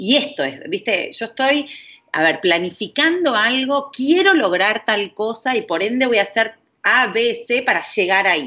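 A woman speaks fairly slowly with a fairly high pitch. Her voice swings very widely in pitch. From Argentina. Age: 40s. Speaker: parenting coach. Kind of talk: interview conversation.

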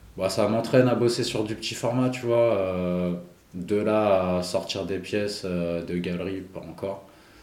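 Speaking very slowly in a room with audible echo, a man uses a fairly low pitch and fairly even intonation. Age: 40s. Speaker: graffiti artist. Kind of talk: casual interview.

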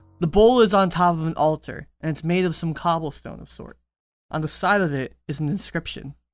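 Fairly quick speech over music in the background. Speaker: game master running a tabletop role-playing game. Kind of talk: tabletop role-playing game podcast, casual banter and narration.

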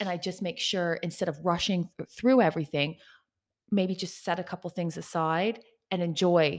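A woman with a plain, everyday voice talks at a moderate pace and a fairly low pitch. The recording is very clean, with a silent background. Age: 40s. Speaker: podcast co-host. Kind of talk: casual chat. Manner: playful, joking.

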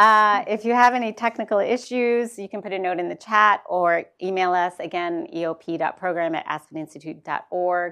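A woman's bright, sharp voice with hardly any pauses, against a quiet background. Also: medium pitch for a woman, ordinary pitch variation, moderate pace. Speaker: moderator at think tank. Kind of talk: moderated book talk. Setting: in-person event with audience.

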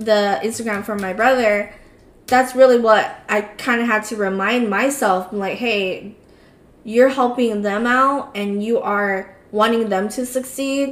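A woman's fairly high-pitched voice holds fairly even intonation, with noticeable background noise behind her. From US, Cambodian-American community. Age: 20s. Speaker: podcast co-host. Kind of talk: casual chat.

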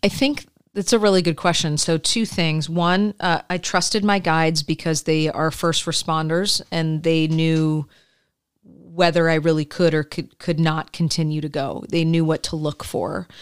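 A woman with an American accent and a plain, everyday voice speaks at a fairly low pitch and moderate pace with fairly even intonation, in a very clean recording with a silent background. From Michigan, US Midwest. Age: 40s. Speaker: podcast co-host, therapist. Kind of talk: casual chat.

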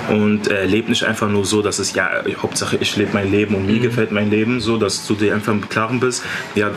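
Moderate, monotone delivery with flat intonation against noticeable background noise. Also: man. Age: 20s. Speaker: bodybuilder and mental coach. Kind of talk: casual interview.

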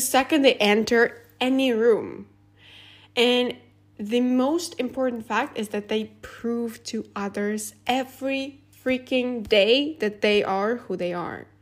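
A woman with a non-native accent and a high pitch speaks at a very slow pace with ordinary pitch variation on a very clean recording with a silent background. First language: not English. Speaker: podcast host. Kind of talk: solo casual monologue. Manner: giggly, many fillers.

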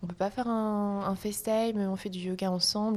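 Using a plain, everyday voice, a woman speaks at a medium pitch and moderate pace with fairly even intonation. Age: 20s. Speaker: yoga teacher. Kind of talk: casual chat.

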